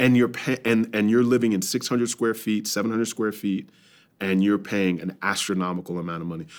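A man with a normal speaking voice and an American accent, fairly low pitch, ordinary pitch variation and moderate pace, on a very clean recording with a silent background. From New York suburbs. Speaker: pastor and church planter. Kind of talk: casual interview.

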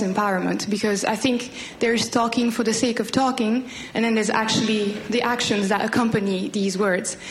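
A woman with a fairly high pitch talks fairly quickly in a flat monotone. There is noticeable background noise and audible room echo. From Rwanda. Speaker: master's student. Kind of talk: audience question.

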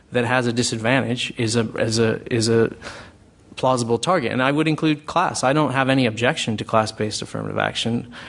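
In a plain, everyday voice, a man with an American accent talks at a medium pitch and a fairly quick pace. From US. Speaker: think tank director. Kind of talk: panel discussion. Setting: stage with audience.

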